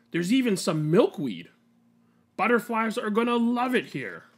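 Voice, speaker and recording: In a put-on character voice, a man speaks at a high pitch with lively intonation, captured in a very clean recording with a silent background. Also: moderate pace. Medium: read story.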